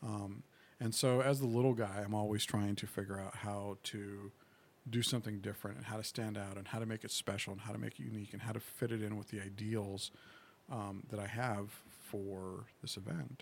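Soft-spoken and fairly quick, a man talks at a fairly low pitch with fairly even intonation. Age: 40s. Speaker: gaming convention organizer. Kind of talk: casual chat. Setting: studio.

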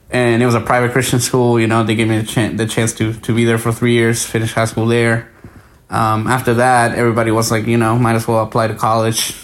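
A man with a Spanish accent speaks at a very fast pace with medium pitch. His intonation is monotone and flat, and his loudness is very even. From Guatemala. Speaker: podcast guest, researcher. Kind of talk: casual interview chat.

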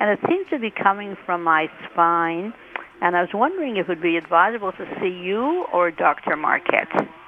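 A woman's medium-pitched voice at a moderate pace, with ordinary pitch variation and noticeable background noise. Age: old. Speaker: caller. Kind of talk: call-in question. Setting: phone call.

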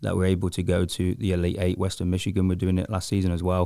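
A man with an English Midlands accent speaks in a very deep, low, dark and mellow voice on a very clean recording with a silent background. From Coventry, England. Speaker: soccer coach. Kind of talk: casual interview.

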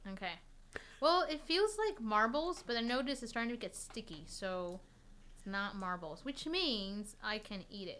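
At a fairly slow pace, a woman speaks in a fairly high voice with a bright, sharp tone and very wide pitch swings. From Taiwan. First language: Chinese. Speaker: violinist. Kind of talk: casual chat.

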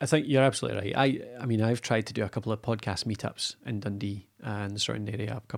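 In a very clean recording with a silent background, a man talks at a very fast pace in a fairly low pitch with ordinary pitch variation. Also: hardly any pauses. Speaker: podcasting expert and business owner. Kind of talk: casual chat.

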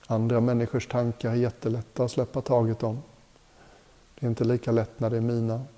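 A man's medium-pitched voice, dark and mellow, with a calm, soothing tone, monotone, flat intonation and very even loudness. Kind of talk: guided meditation. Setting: retreat hotel group session. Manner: slow, calm, soothing; gentle, unhurried, with long pauses.

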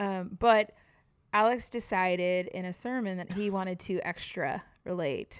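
A plain, everyday voice at a fairly slow pace, with ordinary pitch variation and a quiet background. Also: woman, medium pitch for a woman. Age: 40s. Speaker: podcast co-host, worship leader. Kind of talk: casual chat.

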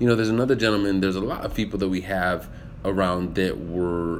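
Amid audible room echo, a man with an American accent speaks in an animated tone with a very deep, low pitch and ordinary pitch variation. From US military upbringing, German heritage. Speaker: actor and public speaking coach. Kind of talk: livestream monologue with viewer Q&A. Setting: live video stream.

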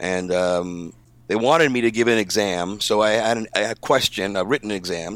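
An ordinary speaking voice from a man with an American accent, fairly low pitch and fairly even intonation, on a very clean recording with a silent background. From New York. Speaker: sound designer. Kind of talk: casual chat.

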